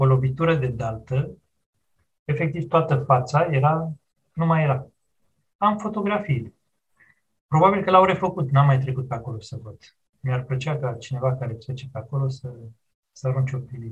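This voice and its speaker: The speaker talks at a moderate pace, somewhat breathy, with ordinary pitch variation. There are big swings in loudness and long, frequent pauses. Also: man, medium pitch for a man. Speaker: historian. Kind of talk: interview.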